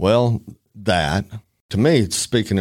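Heard in a very clean recording with a silent background, a man speaks in an Alabama accent with ordinary pitch variation. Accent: Southern US (Alabama). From US South, northern Alabama. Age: 50s. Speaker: trial attorney. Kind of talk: casual interview.

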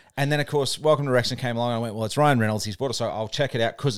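Very fast speech from a man at a medium pitch, with lively intonation. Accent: Australian. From New Zealand and Australia. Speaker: podcast co-host. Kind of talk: casual chat. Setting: makeshift home studio.

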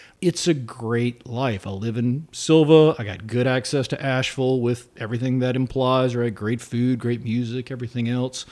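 With a normal speaking voice, a man with an American accent talks at a moderate pace and medium pitch, with fairly even intonation and hardly any pauses. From South Carolina. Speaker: political science professor. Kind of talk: interview.

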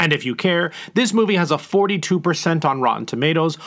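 With lively intonation and a fairly quick pace, a man talks in a plain, everyday voice. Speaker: producer. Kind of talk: scripted fun-facts segment.

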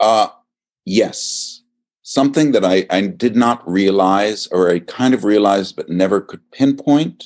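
Fairly low in pitch, a man with an American accent talks with ordinary pitch variation. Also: fairly slow pace. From Virginia, US. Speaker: actor and acting teacher. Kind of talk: casual interview chat. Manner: halting.

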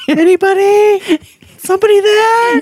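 Moderate pace in a put-on character voice, pitched extremely high. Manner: pleading.

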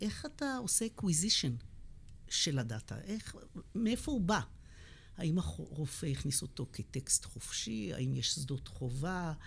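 A woman speaks in a very deep, low voice with vocal fry. Her pace is fairly slow and her pitch swings very widely. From Israel, Beersheba (south). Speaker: physician and epidemiology professor. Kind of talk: interview conversation.

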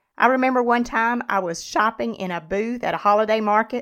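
In a very clean recording with a silent background, a woman with a plain, everyday voice speaks at a moderate pace with ordinary pitch variation. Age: 50s. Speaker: podcast host and nutrition and fitness coach. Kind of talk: solo educational podcast monologue.

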